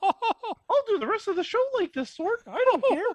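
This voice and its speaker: An extremely high, put-on character voice in a playful tone. The pace stays moderate. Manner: cartoonish, playful.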